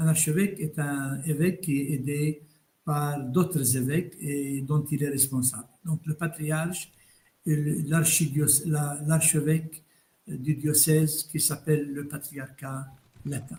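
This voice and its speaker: At a very slow pace, a man with fairly high pitch speaks in a somewhat breathy, dark, mellow tone with monotone, flat intonation. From Palestine, Bethlehem. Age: 70s. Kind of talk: interview.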